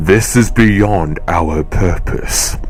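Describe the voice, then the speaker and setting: A man's put-on character voice, fairly low in pitch, over clear background noise. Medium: audio drama. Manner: formal, commanding.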